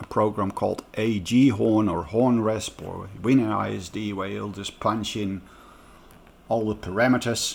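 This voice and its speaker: This man talks at a fairly slow pace with vocal fry, a fairly low pitch, fairly even intonation and big swings in loudness. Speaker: DIY audio speaker builder. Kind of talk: casual tutorial talk to camera.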